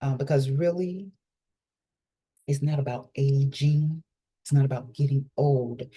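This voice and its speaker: A woman speaks in a very deep, low pitch with a dark, mellow tone that is somewhat breathy. Her intonation is fairly even and her pace fairly slow, with long, frequent pauses. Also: very even loudness. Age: 50s. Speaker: holistic life coach. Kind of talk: casual monologue vlog.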